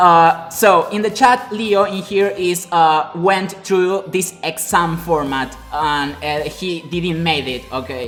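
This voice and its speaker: Music plays behind a man with a Spanish accent who speaks very slowly at a high pitch, with ordinary pitch variation and hardly any pauses. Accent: Spanish-speaking. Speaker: web developer and live streamer. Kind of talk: live stream talk. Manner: halting, many fillers.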